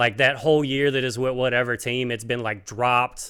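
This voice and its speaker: On a very clean recording with a silent background, a man speaks at a medium pitch and moderate pace. His tone is bright and sharp, and his intonation is monotone and flat. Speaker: comedian. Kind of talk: casual comedic podcast chat. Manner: filler-heavy, lots of uh and like.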